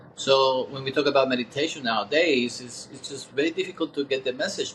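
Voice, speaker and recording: The man's pitch is fairly high, with ordinary pitch variation. He talks at a fairly quick pace. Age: 60s. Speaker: meditation teacher. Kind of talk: interview. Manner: halting.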